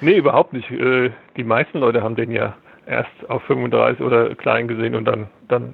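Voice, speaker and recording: A man holds a moderate pace while talking in a medium register. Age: 50s. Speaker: film archivist. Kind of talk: interview. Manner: halting, repeats words.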